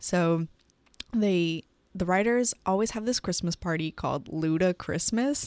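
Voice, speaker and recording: Here is a woman with an ordinary speaking voice, medium pitch and ordinary pitch variation, talking at a fairly slow pace. The recording is very clean, with a silent background and a dry, close sound with no echo. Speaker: podcast co-host. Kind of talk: casual chat.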